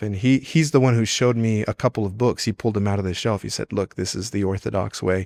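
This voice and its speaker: The man talks at a fairly quick pace in a fairly low pitch, with fairly even intonation. His recording is very clean and silent behind him, with a dry, close sound and no echo. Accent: Spanish. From California, Mexican-American. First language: Spanish. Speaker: priest. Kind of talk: testimony. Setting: chapel. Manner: halting, with self-corrections.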